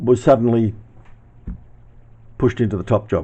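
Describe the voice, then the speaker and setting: A man speaks in an Australian accent at a moderate pace and medium pitch. His tone is dark and mellow, and somewhat breathy. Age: 70s. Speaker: YouTuber reminiscing. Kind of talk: casual narration with footage.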